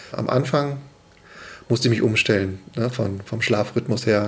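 A man talks at a moderate pace and medium pitch in an ordinary speaking voice. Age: 30s. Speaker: father of two, commuter. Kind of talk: casual chat.

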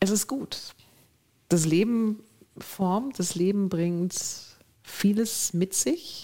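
Very slow and marked by long, frequent pauses, a woman's somewhat breathy voice has a dark, mellow tone, a medium pitch and ordinary pitch variation. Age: 50s. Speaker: business executive. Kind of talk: interview.

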